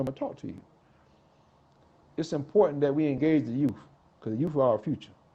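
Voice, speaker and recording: At a very fast pace, a man talks in a fairly high pitch with ordinary pitch variation, his dark, mellow tone somewhat breathy. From US South, South Carolina. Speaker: rapper. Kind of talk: interview.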